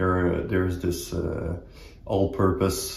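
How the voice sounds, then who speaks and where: A man talks in a very deep, low voice with monotone, flat intonation. Audible room echo sits on the recording. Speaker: axe hobby channel host. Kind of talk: casual vlog chat. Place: home room.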